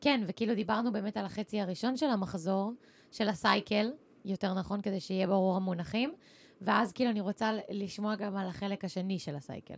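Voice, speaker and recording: Using ordinary pitch variation, a woman at medium pitch speaks in an ordinary speaking voice. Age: 20s. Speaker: podcast host. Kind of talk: casual chat.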